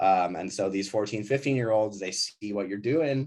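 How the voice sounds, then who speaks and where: A man with an American accent, a normal speaking voice, fairly low pitch, and lively intonation. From US Midwest, suburbs of Milwaukee, Wisconsin. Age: 30s. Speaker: ski company founder. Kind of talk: casual chat. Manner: casual, many fillers and restarts.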